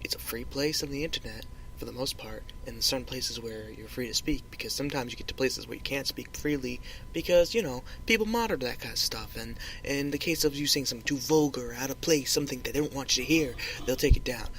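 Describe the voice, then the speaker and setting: A man mumbles at a very fast pace, his loudness swinging widely. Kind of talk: casual solo podcast talk. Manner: rambling, mumbling.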